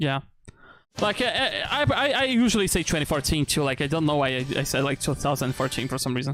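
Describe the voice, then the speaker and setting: The speech moves at a fairly quick pace with music in the background. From Brazil. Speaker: streamer. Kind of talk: casual chat. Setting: live stream.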